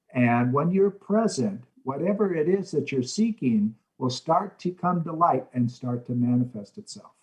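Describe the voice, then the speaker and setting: Lively intonation from a man with a somewhat breathy voice. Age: 60s. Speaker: motivational speaker and mentor. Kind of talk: interview. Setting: video call.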